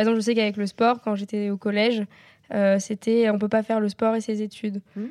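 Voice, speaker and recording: This woman talks at a fairly quick pace with a fairly high pitch and monotone, flat intonation, in a dry, close sound with no echo. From Normandy, France. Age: 20s. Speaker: student and equestrian athlete. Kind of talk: interview, asking questions. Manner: hesitant, many fillers.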